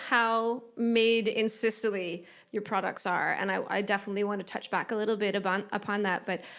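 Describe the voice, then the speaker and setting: In a very clean recording with a silent background, a woman talks with an American accent. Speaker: travel journalist and podcast host. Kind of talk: casual interview. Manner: animated.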